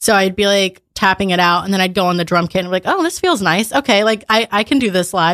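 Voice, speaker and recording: On a very clean recording with a silent background, a woman talks very fast with very even loudness, ordinary pitch variation and hardly any pauses. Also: medium pitch for a woman. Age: 20s. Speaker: musician, band drummer. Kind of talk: casual interview chat. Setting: studio.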